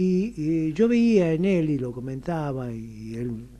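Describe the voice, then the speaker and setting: With a Rioplatense accent, a man speaks using lively intonation. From Argentina, Buenos Aires. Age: 70s. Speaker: radio interview guest. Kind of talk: radio interview. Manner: hesitant, with fillers.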